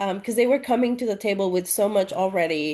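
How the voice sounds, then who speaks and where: A woman speaks over a quiet background. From Mexico, Monterrey. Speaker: playwright and TV executive. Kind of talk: interview. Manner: halting.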